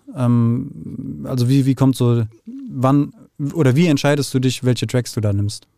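This man's voice has a dark, mellow tone at medium pitch. His pitch variation is ordinary. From Frankfurt, Hesse, Germany. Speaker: podcast host. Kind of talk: interview. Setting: studio.

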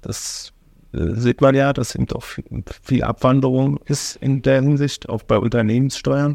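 This man has a plain, everyday voice at a medium pitch, speaking at a fairly slow pace with fairly even intonation in a dry, close sound with no echo. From Germany, Oranienburg (Brandenburg). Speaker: city finance official and deputy mayor. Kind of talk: casual interview.

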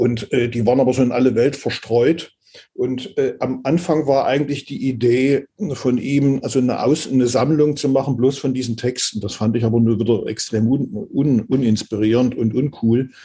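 The tone is dark and mellow, somewhat breathy, with ordinary pitch variation. The pace is moderate. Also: man, medium pitch for a man. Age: 60s. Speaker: pianist, composer and conductor. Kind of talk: interview. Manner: hesitant, many filler sounds.

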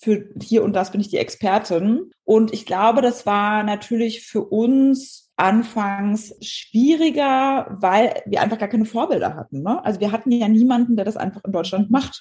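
A woman speaks at a fairly slow pace with hardly any pauses. Her somewhat breathy voice is dark and mellow, fairly high in pitch, with ordinary pitch variation. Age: 30s. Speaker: entrepreneur and brand strategist. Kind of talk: casual chat.

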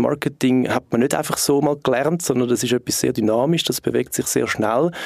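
A man talks at a fairly quick pace in a plain, everyday voice. His pitch is medium, with ordinary variation. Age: 30s. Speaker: marketing consultant and startup co-founder. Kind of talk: podcast interview.

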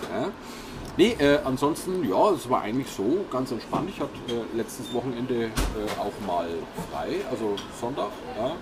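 Amid noticeable background noise and audible room echo, a man of medium pitch speaks at a moderate pace with very wide pitch swings and long, frequent pauses. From Franconia, Nuremberg. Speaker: podcast host. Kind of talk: casual chat.

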